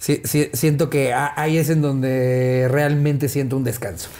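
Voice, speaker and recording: In a Mexican accent, the speaker talks at a fairly slow pace with a dark, mellow tone. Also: man. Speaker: stand-up comedian. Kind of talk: casual interview chat.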